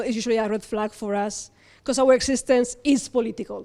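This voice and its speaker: A woman's fairly high voice with a dark, mellow tone. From Spain. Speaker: panel moderator. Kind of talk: panel discussion. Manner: halting, many repetitions; animated.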